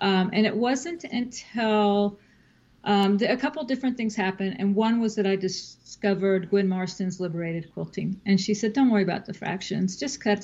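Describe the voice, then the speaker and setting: At a moderate pace and medium pitch, a woman talks in a somewhat breathy voice with ordinary pitch variation. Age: 50s. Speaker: quilter, novelist and podcaster. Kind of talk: casual interview chat.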